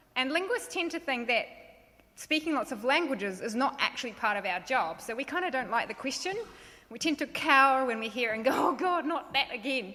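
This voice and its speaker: A woman's high-pitched, raised and projected voice at a fairly quick pace, with lively intonation. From Romania, then Canada and New Zealand as teen. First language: French, then Romanian. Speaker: linguistics lecturer. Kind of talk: short presentation talk. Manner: hesitant, many ums.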